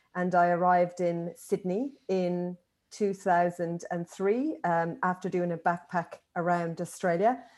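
A woman with an Irish accent at a fairly low pitch and fairly slow pace, with fairly even intonation, on a very clean recording with a silent background. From Ireland. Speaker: occupational therapist and manual handling educator. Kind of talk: interview.

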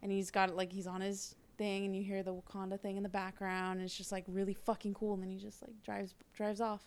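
Her pitch medium, a woman speaks with monotone, flat intonation. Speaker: podcast guest. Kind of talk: casual chat.

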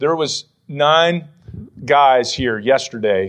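A man speaks at a medium pitch with lively intonation. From western Pennsylvania. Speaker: pastor. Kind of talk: sermon. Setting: church.

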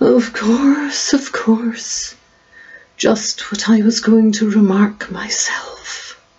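Using a put-on character voice, a woman mumbles at a very slow pace and a fairly high pitch. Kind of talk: children's story reading. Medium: read story. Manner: drowsy, mumbling, impatient.

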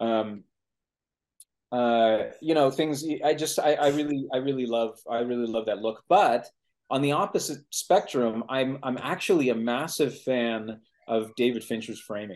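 With a normal speaking voice, a man talks at a fairly slow pace, his medium pitch showing ordinary variation. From US Pacific Northwest (Seattle), born in Mexico City. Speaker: film director. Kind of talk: casual chat.

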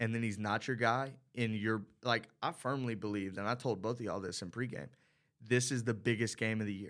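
The recording is very clean with a silent background. A man with a normal speaking voice talks at a moderate pace, medium in pitch, with fairly even intonation. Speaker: college radio sports commentator. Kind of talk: casual sports talk.

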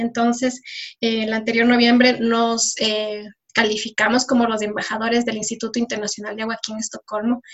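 The woman's fairly high voice holds a monotone, flat intonation. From Ecuador (Riobamba). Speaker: environmental engineer and social entrepreneur. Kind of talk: interview.

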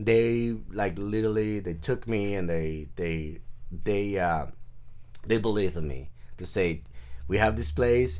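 The speech comes at a fairly slow pace with long, frequent pauses. Audible room echo surrounds it. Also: man. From Mexico, Nayarit coast. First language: Spanish. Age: 40s. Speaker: artist. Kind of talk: casual interview chat.

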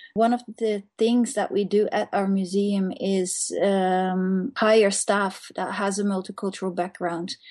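A woman with a Dutch accent talks at a fairly slow pace, with hardly any pauses. The background is quiet. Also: medium pitch for a woman. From Netherlands. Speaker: museum staff member. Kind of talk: interview. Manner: halting, many fillers.

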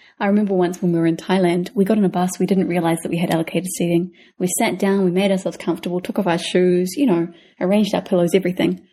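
A woman speaks very fast with a New Zealand accent and a dark, mellow tone. Her intonation is fairly even and her loudness very even. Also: medium pitch for a woman, quiet background. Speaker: travel podcast co-host. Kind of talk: casual chat.

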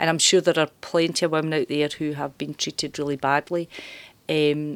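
A woman with a Glaswegian accent speaks at a very deep, low pitch in a monotone, flat way. The recording is very clean, with a silent background, and the sound is dry and close, with no echo. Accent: Glaswegian Scottish. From Glasgow, Scotland. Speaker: journalism lecturer. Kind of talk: interview. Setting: university campus.

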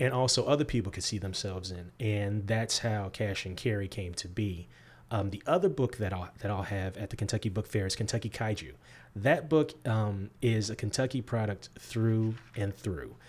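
In a very clean recording with a silent background, a man with an American accent speaks at a fairly low pitch, somewhat breathy, with ordinary pitch variation. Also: moderate pace. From US Midwest. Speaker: graphic novel writer. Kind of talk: interview.

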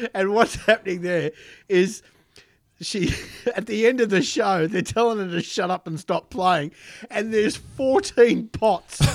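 A man with an Australian accent speaks at a fairly slow pace in a high voice, leaving long, frequent pauses, on a very clean recording with a silent background. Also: ordinary pitch variation. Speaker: podcast co-host. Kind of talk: casual chat. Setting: studio.

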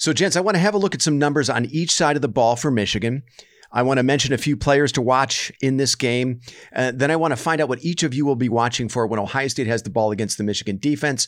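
A very fast-talking man with an American accent and a medium pitch. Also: ordinary pitch variation. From US West Coast. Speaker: podcast host. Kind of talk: casual sports podcast chat. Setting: remote recording.

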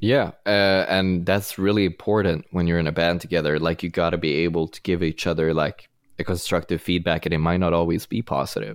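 The recording is very clean, with a silent background. A man with a Swedish accent speaks at a fairly quick pace in a very deep, low pitch with ordinary pitch variation. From Sweden. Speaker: rock musician. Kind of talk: casual interview.

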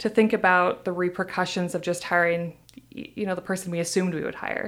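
A woman talks at a fairly quick pace in a medium pitch. She has a normal speaking voice. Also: very clean recording, silent background. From US Midwest, Iowa. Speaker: sensory scientist. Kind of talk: casual interview. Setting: studio.

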